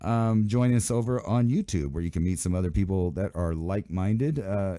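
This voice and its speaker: The tone is dark and mellow, and the pace is fairly quick. The recording is very clean, with a silent background. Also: man, fairly low pitch for a man, ordinary pitch variation. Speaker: live stream and internet radio show host. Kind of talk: solo live show commentary. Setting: live broadcast on YouTube and radio. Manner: halting, many fillers; casual, rambling.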